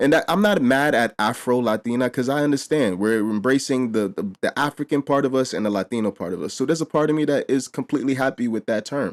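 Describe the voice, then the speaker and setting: With a New York accent, a man with a medium pitch and ordinary pitch variation races along at a very fast pace with hardly any pauses, in a dry, close sound with no echo. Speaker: reaction and commentary youtuber. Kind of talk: casual commentary to camera.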